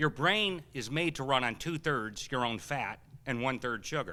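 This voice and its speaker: Bright and sharp in tone, a man speaks at a medium pitch in an animated way. The recording is very clean, with a silent background. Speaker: health seminar speaker. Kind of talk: seminar Q&A talk. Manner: fast.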